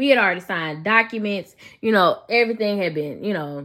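A woman with a Memphis accent, medium pitch, an animated, bright and sharp tone, lively intonation and a fairly quick pace, on a very clean recording with a silent background. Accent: Southern US, Memphis. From Memphis, Tennessee. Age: 30s. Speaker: podcast host. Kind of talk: solo podcast monologue, personal testimony. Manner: conversational, animated, faith-inflected.

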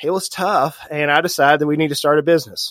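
A man with a slight Southern US accent talks at a fairly quick pace in a fairly high voice. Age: 40s. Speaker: financial advisor. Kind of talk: podcast interview. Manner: animated.

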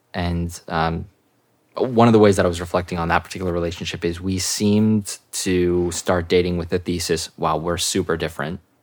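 In an American accent, a man speaks with a very deep, low pitch and monotone, flat intonation. The recording is very clean, with a silent background. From Seattle, US Pacific Northwest. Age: 30s. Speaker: venture capital worker. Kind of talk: casual interview chat.

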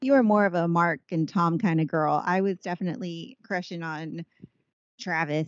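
A woman speaks in an unremarkable speaking voice with a fairly low pitch. She keeps a moderate pace and ordinary pitch variation. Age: 30s. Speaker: podcast co-host, stay-at-home mom. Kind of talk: casual chat.

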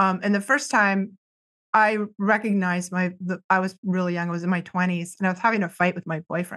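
A woman with an American accent and an unremarkable speaking voice, medium pitch, fairly even intonation and fairly quick pace. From US Northeast, near Boston. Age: 50s. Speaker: psychic counselor and energy-healing teacher. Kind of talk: casual interview.

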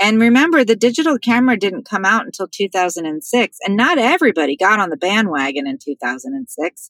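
With hardly any pauses, a woman at fairly high pitch makes very wide pitch swings and uses vocal fry, in a dry, close sound with no echo. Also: moderate pace. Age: 50s. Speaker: professional organizer. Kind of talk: interview.

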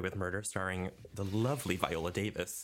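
Here is a man with an ordinary speaking voice, pitched fairly low. He talks at a moderate pace with fairly even intonation. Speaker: podcast co-host. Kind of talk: casual chat podcast banter. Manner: joking, sarcastic, playful.

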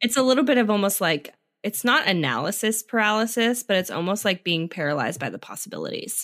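Speaking at a very fast pace, a woman with a medium pitch sounds animated, with lively intonation and vocal fry, in a very clean recording with a silent background. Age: 30s. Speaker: podcast host. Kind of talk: casual interview chat.

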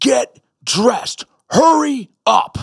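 This man uses a put-on character voice pitched extremely high. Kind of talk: military command. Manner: commanding, loud, barking orders.

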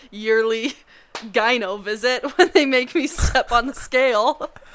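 The woman has an unremarkable speaking voice. Her pace is moderate and her pitch varies in an ordinary way. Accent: American. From Montana. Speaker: pharmacy student. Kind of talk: casual chat.

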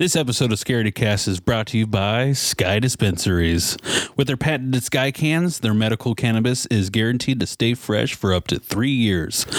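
A man speaks at a moderate pace with hardly any pauses, in a medium pitch and with ordinary pitch variation. His loudness stays very even, and it is a normal speaking voice. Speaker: podcast host. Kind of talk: casual chat.

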